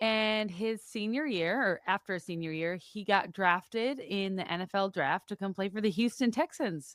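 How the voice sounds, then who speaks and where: A woman with a slight Wisconsin accent speaks with hardly any pauses and ordinary pitch variation, in a dry, close sound with no echo and a very clean recording with a silent background. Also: medium pitch for a woman, moderate pace. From US Midwest, Wisconsin (Madison suburb). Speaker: podcast guest, mother. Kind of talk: casual chat. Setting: studio.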